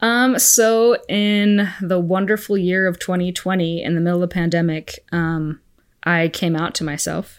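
On a very clean recording with a silent background, a woman with an American accent uses a normal speaking voice, speaking at a fairly slow pace with a medium pitch and fairly even intonation. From Arizona, US. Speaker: religious education teacher. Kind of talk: casual interview.

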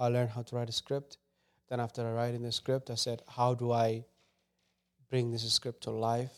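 In a Somali accent, a medium-pitched man speaks at a moderate pace in a monotone, flat way with long, frequent pauses, the sound dry and close with no echo. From Somali refugee camp, moved to US 2013. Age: 20s. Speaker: filmmaker. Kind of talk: casual interview.

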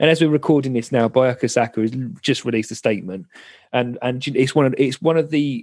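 A very fast man's voice in a southern English accent, medium in pitch with ordinary pitch variation, over a quiet background. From southern England. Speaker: podcast host. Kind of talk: casual chat. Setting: video call.

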